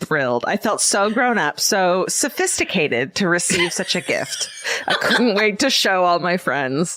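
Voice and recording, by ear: With lively intonation, a speaker reads aloud in a natural voice.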